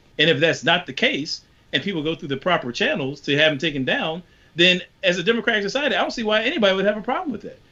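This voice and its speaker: A man with a Southern accent, high-pitched, bright and sharp in tone, very fast, with very wide pitch swings. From US South, rural Virginia. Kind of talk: panel discussion.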